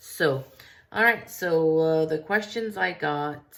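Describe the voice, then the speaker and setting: A woman speaking at a very slow pace. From US, Mexican-American. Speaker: artist vlogger. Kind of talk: casual Q&A vlog. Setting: studio. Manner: casual, many fillers.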